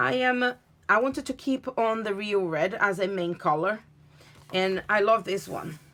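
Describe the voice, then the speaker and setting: Speaking fairly slowly with a Portuguese accent, a woman uses a medium pitch and ordinary pitch variation. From Brazil / Portugal. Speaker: craft demonstrator. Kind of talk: tutorial. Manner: halting.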